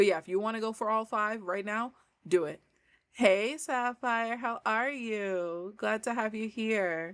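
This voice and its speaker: On a very clean recording with a silent background, a woman with an American accent speaks at a fairly slow pace and a fairly high pitch, with ordinary pitch variation. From New York. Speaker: language coach. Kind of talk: casual livestream chat. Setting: livestream.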